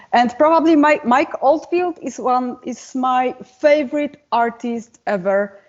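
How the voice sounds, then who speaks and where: In a non-native accent, a woman speaks at a fairly slow pace with a high pitch and ordinary pitch variation. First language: not English. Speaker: metal singer and guitarist. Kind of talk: interview.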